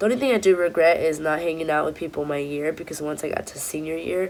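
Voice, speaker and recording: With an American accent, the speaker has an animated tone over noticeable background noise. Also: woman. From Southern California (Orange County / Los Angeles). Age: 20s. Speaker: vlogger. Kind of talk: casual Q&A vlog.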